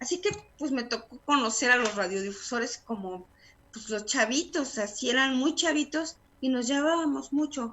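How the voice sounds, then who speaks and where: Ordinary pitch variation accompanies a moderate pace throughout. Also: woman. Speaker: radio announcer and journalist. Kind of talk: interview answer.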